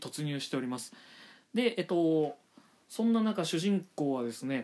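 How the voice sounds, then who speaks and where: The speaker is a man with a fairly high pitch. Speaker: manga review podcaster. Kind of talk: solo podcast monologue. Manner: fast; polite formal.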